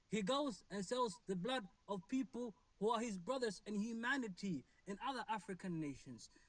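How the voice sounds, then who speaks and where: This man has a high-pitched voice. He talks at a moderate pace with lively intonation. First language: not English. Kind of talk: live debate discussion. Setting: online live stream. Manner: halting, with many fillers.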